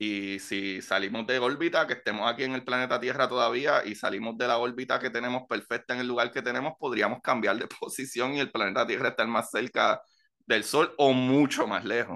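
The voice has a bright, sharp tone and moves at a fairly quick pace, with fairly even intonation and hardly any pauses. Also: man, medium pitch for a man. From Puerto Rico. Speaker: science podcast host. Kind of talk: casual chat.

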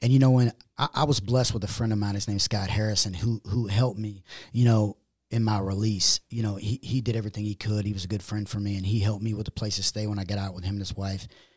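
Talking very fast in a monotone, flat delivery, a man with a fairly low pitch sounds somewhat breathy, recorded dry and close with no echo. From US, moved around the East Coast, Chicago and Missouri. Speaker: former prisoner. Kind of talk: interview.

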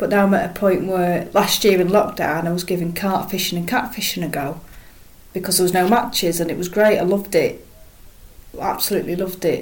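A woman at medium pitch, fairly quick and fairly even in intonation, with noticeable background noise. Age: 30s. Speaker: match angler. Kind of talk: casual interview chat.

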